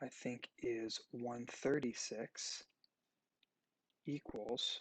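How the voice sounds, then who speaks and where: A man speaks softly, leaving long, frequent pauses. The sound is dry and close, with no echo. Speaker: math teacher. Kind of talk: tutorial. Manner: soft-spoken.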